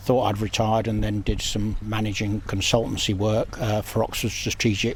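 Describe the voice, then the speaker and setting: A man at a fairly low pitch and a moderate pace, with hardly any pauses, amid noticeable background noise. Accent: British. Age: 70s. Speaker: charity founder, retired police officer. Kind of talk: interview.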